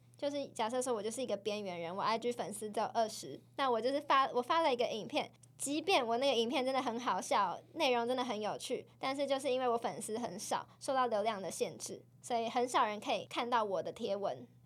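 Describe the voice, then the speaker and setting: Speaking at a fairly quick pace with hardly any pauses, a woman uses a high pitch and ordinary pitch variation. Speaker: podcast co-host. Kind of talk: casual chat.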